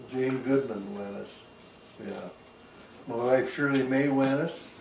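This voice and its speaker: A man with a Canadian prairie accent speaks fairly slowly at a medium pitch. Audible room echo and noticeable background noise surround him. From Canada, southwest Saskatchewan. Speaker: retired farmer. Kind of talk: oral history interview. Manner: halting.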